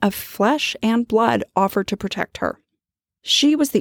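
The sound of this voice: This is an unforced reading voice over a quiet background.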